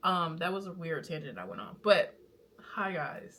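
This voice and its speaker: The speaker is a woman with a fairly low pitch. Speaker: vlogger and small business owner. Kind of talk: casual vlog talk to camera. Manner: casual, rambling with fillers.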